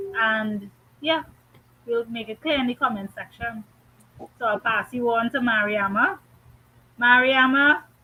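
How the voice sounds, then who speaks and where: A woman with a Trinidadian accent speaks at a fairly high pitch and a fairly slow pace. Her pitch varies in an ordinary way, and long, frequent pauses break up her speech. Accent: Trinidadian, noticeable. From Trinidad and Tobago. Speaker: guest panelist. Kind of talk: casual chat. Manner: animated.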